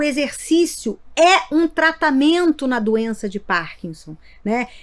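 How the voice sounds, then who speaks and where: A woman speaks in a high pitch with lively intonation. Her pace is very slow. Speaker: neurologist, sleep medicine doctor. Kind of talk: interview podcast. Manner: halting, repeats words.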